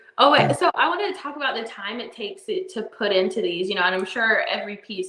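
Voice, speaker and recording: A woman with a Southern US accent, talking at a very fast pace. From US South, Alabama. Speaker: stream host. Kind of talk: casual chat. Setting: live stream.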